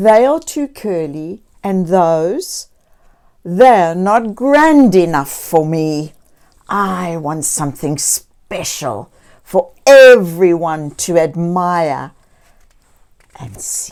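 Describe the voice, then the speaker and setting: A woman's put-on character voice, fairly low, with very wide pitch swings, big swings in loudness, a very slow pace and long, frequent pauses on a very clean recording with a silent background. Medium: read story.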